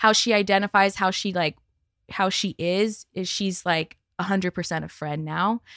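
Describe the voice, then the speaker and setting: A plain, everyday voice from a woman with an American accent, medium in pitch, fairly even in intonation, at a moderate pace, with a dry, close sound free of echo and a very clean recording against a silent background. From Santa Monica, California. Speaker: adoptee sharing her story. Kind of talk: casual chat. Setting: studio.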